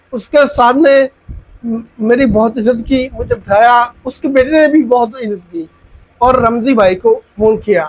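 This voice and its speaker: This man's voice is extremely high-pitched. It shows ordinary pitch variation. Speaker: YouTuber vlogger. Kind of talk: storytelling monologue.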